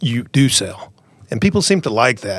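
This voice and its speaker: This is a man with an American accent. He speaks at a fairly quick pace. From rural Iowa, US Midwest. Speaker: seed sales representative. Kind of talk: interview.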